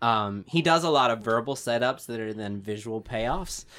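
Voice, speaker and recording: On a very clean recording with a silent background, a man uses an ordinary speaking voice at a medium pitch and moderate pace, with ordinary pitch variation. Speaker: screenwriting podcast co-host. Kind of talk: casual chat.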